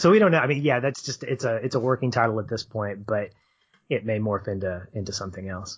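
Somewhat breathy, a man at medium pitch races along at a very fast pace. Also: ordinary pitch variation. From Arkansas. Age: 40s. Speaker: film podcast co-host. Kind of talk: casual interview.

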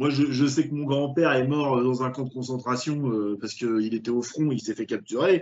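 Here is a man with a normal speaking voice. His pitch is medium and his pace moderate. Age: 30s. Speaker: film podcast host. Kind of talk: casual chat.

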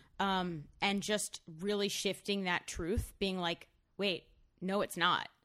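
Very slow and monotone, the voice carries a bright, sharp tone at very even loudness. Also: woman, medium pitch for a woman. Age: 20s. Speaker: comedian, podcast guest. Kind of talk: casual chat.

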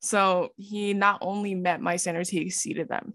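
A woman's normal speaking voice at a medium pitch, with fairly even intonation, in a very clean recording with a silent background. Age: 20s. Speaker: social media creator. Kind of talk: casual chat.

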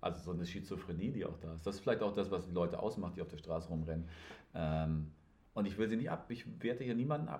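Somewhat breathy speech comes at a very fast pace, with audible room echo. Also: man, very deep, low pitch for a man, ordinary pitch variation. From northern Germany. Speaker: podcast host. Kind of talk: casual chat.

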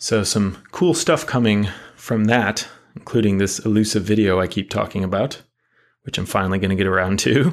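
Against a quiet background, a man with an unremarkable speaking voice and an American accent talks at a fairly low pitch and a moderate pace, with ordinary pitch variation. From United States. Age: 30s. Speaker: podcast host. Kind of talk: casual monologue.

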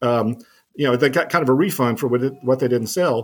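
On a very clean recording with a silent background, a man with an American accent uses a normal speaking voice at medium pitch, a fairly quick pace and ordinary pitch variation. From US South, New Orleans. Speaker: professor. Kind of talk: interview.

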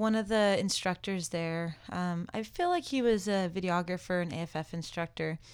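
A woman's medium-pitched voice with an American accent and fairly even intonation. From California. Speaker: skydiving instructor. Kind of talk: casual chat. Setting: studio.

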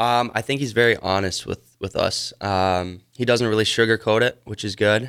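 A man with an American accent uses a normal speaking voice at medium pitch and a moderate pace, with fairly even intonation and hardly any pauses. The recording is very clean, with a silent background. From Wisconsin. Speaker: junior hockey player. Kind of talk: radio interview.

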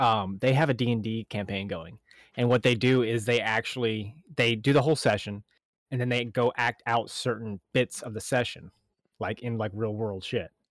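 Here a man speaks at a medium pitch and a moderate pace. The sound is dry and close, with no echo. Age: 30s. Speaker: podcast co-host. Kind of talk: casual chat. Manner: animated.

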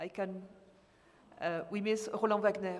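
The speaker has a French accent and a monotone, flat intonation. Noticeable background noise runs underneath. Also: woman. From southern France, Nice. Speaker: small publisher and science fiction fan. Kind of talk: panel discussion. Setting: stage with audience. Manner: halting.

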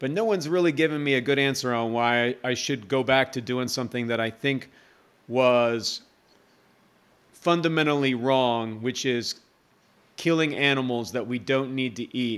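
On a very clean recording with a silent background, a man with an American accent speaks in an unremarkable speaking voice at medium pitch, moderate pace and ordinary pitch variation. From USA. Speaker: nurse, army veteran and vegan author. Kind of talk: casual interview chat.

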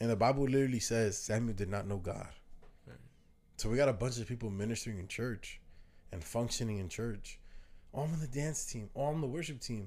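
Pausing long and often, a man with an American accent talks at a fairly quick pace. His pitch is medium with ordinary variation, and room echo is audible. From New Jersey. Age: 20s. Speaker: podcast host. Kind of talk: casual chat.

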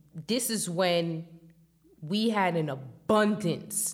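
A woman's fairly low voice with a New York accent, ordinary pitch variation and a very slow pace. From New York, Staten Island. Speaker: hip hop journalist. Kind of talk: interview.

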